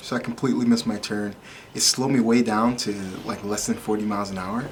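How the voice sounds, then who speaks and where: A man with an American accent speaks at a very fast pace in a monotone, flat way. Light background noise is audible. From Michigan, US. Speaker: tech vlogger; car owner reviewing a driving feature. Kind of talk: casual vlog.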